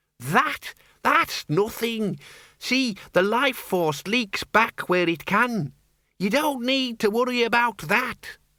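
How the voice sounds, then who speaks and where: In a put-on character voice, a man speaks very slowly at an extremely high pitch, shrill, whiny and shaky. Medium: read story. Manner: petulant, whining.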